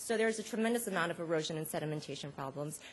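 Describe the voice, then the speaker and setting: A woman speaks with lively intonation. Her voice is somewhat breathy. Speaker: conference panelist. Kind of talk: conference talk. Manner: fast; many fillers (um).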